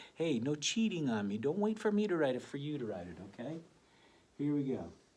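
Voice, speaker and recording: A man's animated, fairly high voice with very wide pitch swings and a fairly quick pace. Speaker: elementary school teacher. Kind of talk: tutorial.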